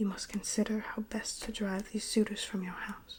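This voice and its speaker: A soft-spoken woman whispering at a moderate pace. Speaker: ASMR reader. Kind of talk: poetry reading of epic text. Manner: whispered, soft-spoken.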